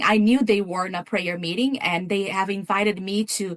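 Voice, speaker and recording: A woman is speaking here with a Brazilian accent. Her pitch is medium. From Brazil, São Paulo State. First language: Portuguese. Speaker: missions coordinator and pastor. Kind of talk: testimony. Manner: halting, many repeated words.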